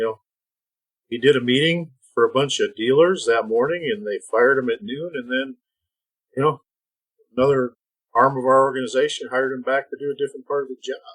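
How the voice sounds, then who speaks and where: A man with an Upper Midwest accent talks at a fairly quick pace and medium pitch, pausing long and often. The sound is dry and close, with no echo. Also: ordinary pitch variation. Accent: Upper Midwest American. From US Midwest (Minnesota/Iowa). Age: 60s. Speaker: retired feed industry executive. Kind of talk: podcast interview. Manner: halting.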